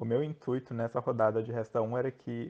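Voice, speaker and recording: A man's medium-pitched voice at a fairly quick pace, in a monotone with flat intonation. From Brazil, Joinville, Santa Catarina. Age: 20s. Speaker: online game contestant. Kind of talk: casual interview.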